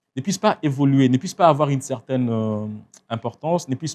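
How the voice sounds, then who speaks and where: A man with a Congolese accent talks at a medium pitch with ordinary pitch variation. The recording is very clean, the background silent. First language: Tshiluba (speaking French). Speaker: writer. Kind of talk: interview. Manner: halting, many hesitations.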